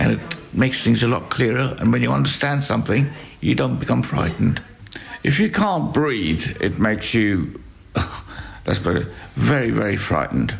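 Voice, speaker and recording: Speaking at a moderate pace with long, frequent pauses, a man with a fairly low voice swings his pitch very widely over noticeable background noise and audible room echo. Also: very even loudness. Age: 60s. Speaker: hospice patient. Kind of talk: interview. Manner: halting.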